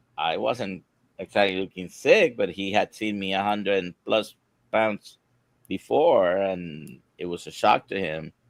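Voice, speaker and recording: A man speaks at a fairly slow pace in an unremarkable speaking voice. His pitch is fairly low with ordinary variation, and the sound is dry and close with no echo. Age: 60s. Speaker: doctor. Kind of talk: live Q&A discussion. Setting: live stream.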